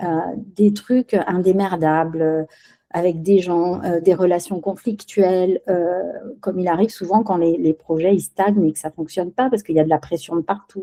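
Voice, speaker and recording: A woman with a Spanish accent speaks at a fairly low pitch in a dark, mellow tone. Her intonation is fairly even, and the sound is dry and close with no echo. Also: moderate pace. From Spain, raised in France from age 6. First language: Spanish (speaking French). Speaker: business executive. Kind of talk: podcast interview. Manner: hesitant, many fillers.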